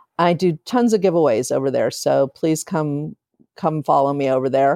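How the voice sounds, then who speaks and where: The voice has a dark, mellow tone and a Midwestern US accent. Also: woman, dry, close sound with no echo. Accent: US Midwest. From Ohio, Akron. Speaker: novelist. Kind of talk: interview. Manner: hesitant, many fillers.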